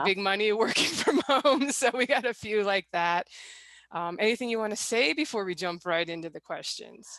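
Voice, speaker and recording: A woman's fairly high, unremarkable speaking voice, lively in intonation, at a moderate pace. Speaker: author. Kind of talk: interview host.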